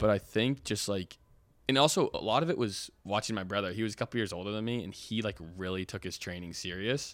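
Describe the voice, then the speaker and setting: A man's fairly low, ordinary speaking voice at a fairly quick pace with ordinary pitch variation, on a very clean recording with a silent background. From Oregon, Portland. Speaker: college lacrosse player. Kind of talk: casual interview.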